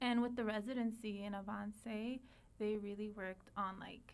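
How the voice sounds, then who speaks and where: In an audible room echo, a woman speaks at a fairly high pitch with monotone, flat intonation. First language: Spanish. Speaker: teacher. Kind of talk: interview. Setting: podcast recording.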